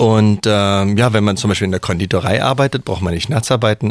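Fairly low in pitch, a man talks at a moderate pace in a plain, everyday voice. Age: 40s. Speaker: master baker and bread sommelier. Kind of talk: radio interview. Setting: radio studio.

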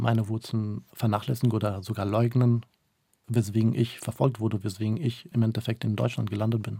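A somewhat breathy voice with a dark, mellow tone speaks in a monotone, flat intonation at a fairly quick pace. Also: man. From northern Iraq, Mosul; moved to Germany at age 9. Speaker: interpreter and human rights activist. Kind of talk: radio interview.

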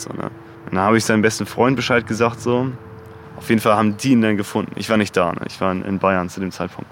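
Speaking very fast, a man keeps a fairly low pitch and fairly even intonation. Noticeable background noise runs underneath. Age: 20s. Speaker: rapper. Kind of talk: interview.

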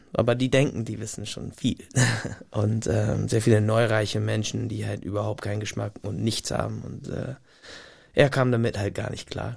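The speaker talks at a moderate pace with vocal fry, fairly even intonation and big swings in loudness, in a very clean recording with a silent background. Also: man, fairly low pitch for a man. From US Pacific Northwest, Gig Harbor near Tacoma. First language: English (speaking German). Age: 30s. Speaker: singer-songwriter. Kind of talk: casual interview. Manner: halting, pauses to find words.

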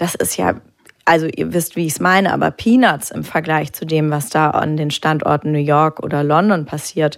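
This woman's pitch is very deep and low, with ordinary pitch variation. She keeps a moderate pace. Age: 30s. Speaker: art auction house director. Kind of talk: live public talk interview. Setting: stage with audience.

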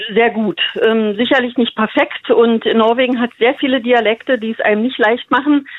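Her voice fairly high and her intonation fairly even, a woman speaks at a moderate pace in an unremarkable speaking voice. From Berlin-Brandenburg, Germany. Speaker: radio listener, kindergarten worker. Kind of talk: phone interview. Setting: phone call.

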